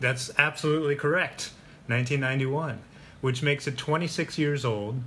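With an American accent, a man speaks fairly slowly at a fairly high pitch, his intonation fairly even, in an unremarkable speaking voice. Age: 30s. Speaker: podcast host. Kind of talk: casual chat.

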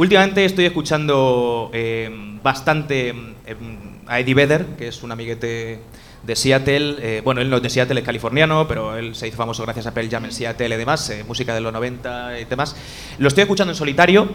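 Talking at a fairly quick pace, a man uses a medium pitch with ordinary variation as noticeable noise fills the background. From Spain, Elche. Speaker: podcaster. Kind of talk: casual chat. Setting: live event with audience.

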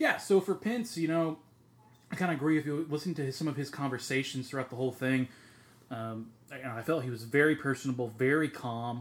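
With an unremarkable speaking voice, a man talks at a fairly high pitch and a fairly quick pace, with ordinary pitch variation. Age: 30s. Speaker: podcast co-host. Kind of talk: casual chat.

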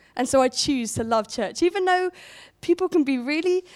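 In a southern English accent, a woman speaks in a high voice. Her pitch swings very widely. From southern England, Portsmouth. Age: 20s. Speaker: church worker and conference speaker. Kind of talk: sermon. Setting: stage with audience.

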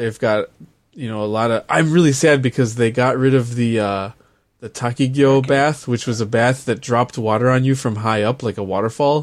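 In an ordinary speaking voice, a man with an American accent talks at a fairly quick pace, medium in pitch, with fairly even intonation. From US. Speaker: podcast co-host. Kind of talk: casual chat.

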